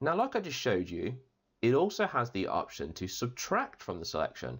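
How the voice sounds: With a fairly bright tone and a slightly husky edge, a man's voice makes very wide pitch swings. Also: medium pitch for a man, moderate pace.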